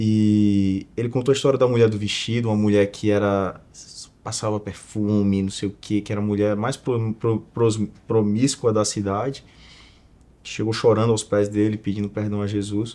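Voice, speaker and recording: This man's voice has a fairly low pitch and a dark, mellow tone. He speaks at a moderate pace with monotone, flat intonation. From Northeast Brazil, Alagoas (Maceió). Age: 20s. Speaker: entrepreneur and investor. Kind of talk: casual interview chat.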